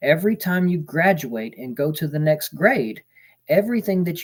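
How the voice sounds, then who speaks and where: In a very clean recording with a silent background, a man with an American accent speaks at a fairly high pitch and moderate pace, his intonation lively. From Texas. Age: 30s. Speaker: livestreamer sharing near-death experience. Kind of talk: reading aloud own written account. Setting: livestream.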